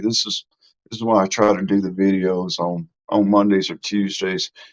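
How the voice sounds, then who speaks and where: A man speaks at a moderate pace in a Mississippi accent. His voice sits fairly low, with ordinary pitch variation. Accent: Southern US (Mississippi). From US South, Mississippi. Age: 60s. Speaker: live streamer, YouTube host. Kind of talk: casual live stream chat. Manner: informal, folksy.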